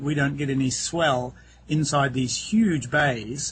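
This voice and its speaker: A man with a New Zealand accent and a fairly high pitch. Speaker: real estate agent. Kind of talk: interview. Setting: outdoors.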